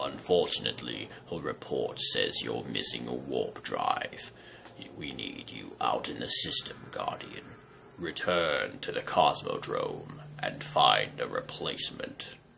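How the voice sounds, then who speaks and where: A man performs in a put-on character voice. He takes a fairly slow pace. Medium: game stream.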